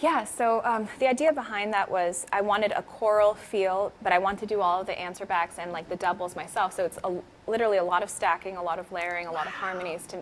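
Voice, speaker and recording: With an American accent, a woman talks very fast at a medium pitch, using ordinary pitch variation. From Miami, Cuban American. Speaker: singer. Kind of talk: interview.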